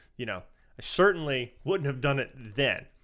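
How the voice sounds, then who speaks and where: A man speaks with a Southern US accent at a moderate pace. The recording is very clean, with a silent background. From US South. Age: 50s. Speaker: podcast co-host, Coast Guard veteran. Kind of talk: casual chat. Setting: studio.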